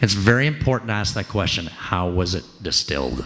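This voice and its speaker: A raspy voice talks at a fairly quick pace with very wide pitch swings. There is noticeable background noise. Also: man, fairly low pitch for a man. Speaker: whisky tasting presenter. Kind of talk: informal educational talk.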